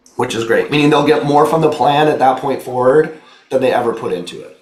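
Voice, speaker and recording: An animated man talks at a fairly quick pace with ordinary pitch variation. Noticeable background noise and audible room echo surround his voice. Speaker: insurance benefits trainer. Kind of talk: training presentation. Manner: casual, animated.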